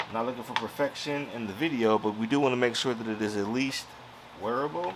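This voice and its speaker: A man at very fast pace, medium-pitched, with ordinary pitch variation and noticeable background noise. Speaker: crafting YouTuber. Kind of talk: tutorial. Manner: loud; casual.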